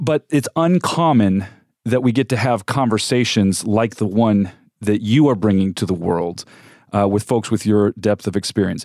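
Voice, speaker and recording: With an American accent, a man talks in a plain, everyday voice, fairly low in pitch with ordinary pitch variation and very even loudness, at a moderate pace on a very clean recording with a silent background and a dry, close sound with no echo. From California. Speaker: radio host. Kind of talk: radio interview. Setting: studio.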